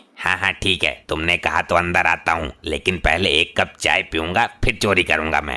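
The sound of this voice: A man does a cartoonish character voice at a very deep, low pitch, keeping his intonation fairly even. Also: moderate pace, hardly any pauses.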